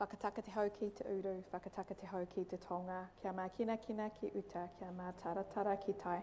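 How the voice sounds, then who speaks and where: A woman with a New Zealand accent speaks in a monotone, flat intonation. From New Zealand, Auckland. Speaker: clinical psychologist. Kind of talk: public talk. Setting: school hall with audience.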